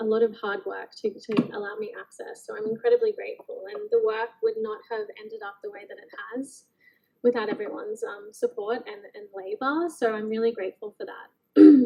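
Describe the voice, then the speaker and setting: A woman with an Australian accent and big swings in loudness. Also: moderate pace. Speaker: artist. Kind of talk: artist talk presentation. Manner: hesitant, many fillers.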